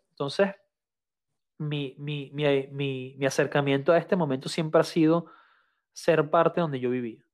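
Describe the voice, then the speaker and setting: On a very clean recording with a silent background, a man with a fairly high pitch speaks fairly slowly and evenly, leaving long, frequent pauses. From Venezuela. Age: 30s. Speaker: photographer and engineer. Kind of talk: casual interview chat.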